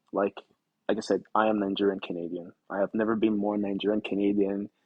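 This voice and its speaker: In a dry, close sound with no echo, a man speaks at a fairly low pitch. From Nigeria. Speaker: actor and podcast guest. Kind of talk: casual interview chat.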